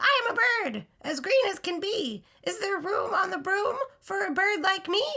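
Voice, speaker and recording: In a put-on character voice, a woman sounds squeaky at an extremely high pitch. Her pace is moderate. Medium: read story.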